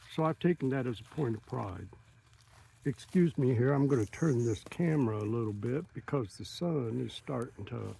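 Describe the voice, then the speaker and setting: A man talks at a moderate pace with a medium pitch and a dark, mellow tone. His voice is somewhat breathy and swings widely in loudness. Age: 70s. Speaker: long-distance walker and vlogger. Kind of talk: personal vlog monologue. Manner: halting.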